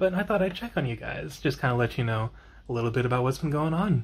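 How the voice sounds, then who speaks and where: A man at a very fast pace, medium-pitched and somewhat breathy, with lively intonation. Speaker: vlogger. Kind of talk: casual vlog monologue. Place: home room. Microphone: phone near.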